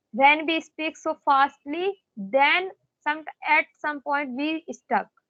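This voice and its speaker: High-pitched woman with an Indian accent and ordinary pitch variation. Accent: Indian English, Hindi. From India, Madhya Pradesh. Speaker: teacher. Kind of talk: conversation practice.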